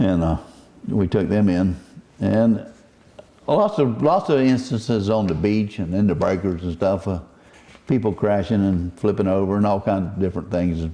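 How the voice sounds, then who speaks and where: Here is a man with a Southern US accent and a fairly low pitch. He moves at a moderate pace with ordinary pitch variation. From Southwest Florida. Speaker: commercial net fisherman. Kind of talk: oral history interview answer.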